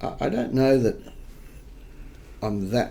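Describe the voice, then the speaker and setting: Audible room echo surrounds a man with an Australian accent. His pitch varies in an ordinary way. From New South Wales, Australia. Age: 60s. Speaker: investigative journalist. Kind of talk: interview. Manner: halting, with many repetitions.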